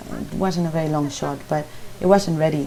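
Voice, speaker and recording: A woman talks at a moderate pace in a fairly low pitch with a Spanish accent. Her pitch varies in an ordinary way, and there is noticeable background noise. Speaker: baking teacher. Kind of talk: tutorial. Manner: halting.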